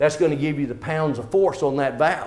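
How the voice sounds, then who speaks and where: A man's fairly high pitch amid audible room echo and noticeable background noise. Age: 60s. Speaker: water systems trainer. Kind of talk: lecture. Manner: casual, conversational.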